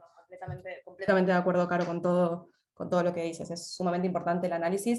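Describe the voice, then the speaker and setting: A woman's fairly low voice in an Argentine accent, very fast and monotone, with big swings in loudness. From Argentina. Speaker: insurance consultant. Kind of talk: webinar panel discussion.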